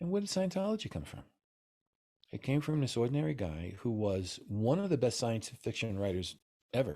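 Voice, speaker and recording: This man has a New York accent and a dark, mellow tone. His pitch swings very widely as he talks at a fairly quick pace. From US Northeast, New York City. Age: 70s. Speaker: Taoist master. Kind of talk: interview. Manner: animated.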